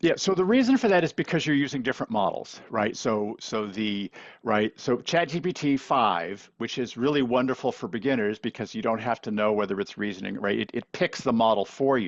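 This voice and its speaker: Fairly quick, lively male speech at medium pitch, hardly any pauses. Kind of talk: webinar presentation. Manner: fast.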